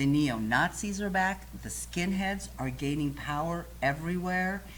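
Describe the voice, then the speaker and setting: A woman with an American accent at a fairly slow pace, audible room echo around her. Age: 50s. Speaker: talk show host. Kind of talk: casual chat.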